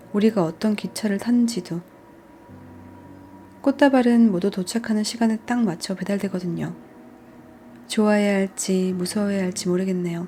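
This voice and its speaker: A woman's medium-pitched voice at a moderate pace, with fairly even intonation and long, frequent pauses. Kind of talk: audiobook reading. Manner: soft-spoken.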